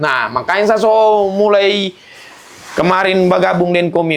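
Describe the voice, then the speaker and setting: The man talks loudly, with a high pitch and a fairly quick pace. His tone is animated. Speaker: stand-up comedian. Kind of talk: interview.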